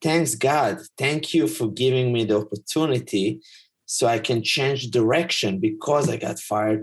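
A man with an Israeli accent, a somewhat breathy medium-pitched voice, ordinary pitch variation and a moderate pace. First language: Hebrew. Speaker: life coach and teacher. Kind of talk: casual chat. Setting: video call.

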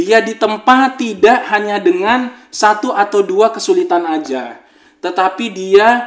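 A man's high voice at a very slow pace, with very wide pitch swings. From Makassar, South Sulawesi, Indonesia. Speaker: podcast host. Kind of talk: casual podcast chat; monologue on current affairs. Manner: animated.

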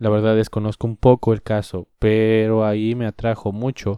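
A man with a Mexican accent at medium pitch, fairly slow, on a very clean recording with a silent background and a dry, close sound with no echo. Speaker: podcaster. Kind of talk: solo opinion monologue. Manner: casual.

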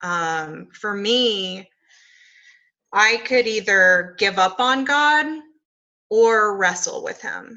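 At a very slow pace and with long, frequent pauses, a woman speaks at a fairly high pitch. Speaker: podcast co-host. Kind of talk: podcast conversation with scripture reading.

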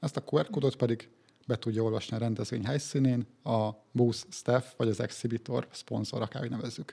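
At a fairly quick pace, a man with a Hungarian accent speaks in a dark, mellow tone at medium pitch, with ordinary pitch variation. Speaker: podcast host. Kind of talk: interview.

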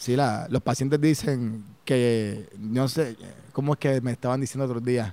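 In a Puerto Rican accent, a man with a medium-pitched voice speaks fairly slowly with fairly even intonation. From Puerto Rico, Humacao and Las Piedras. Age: 40s. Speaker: chiropractor. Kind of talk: interview conversation.

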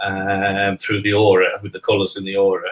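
A man speaks at a moderate pace. Background music plays beneath him. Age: 60s. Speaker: spiritualist medium and teacher. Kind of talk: casual interview over live stream. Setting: live online stream.

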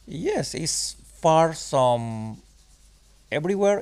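A man speaks at a fairly slow pace with a Spanish accent. His intonation is lively. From Chiapas, southern Mexico. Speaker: wilderness guide and knife maker. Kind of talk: interview.

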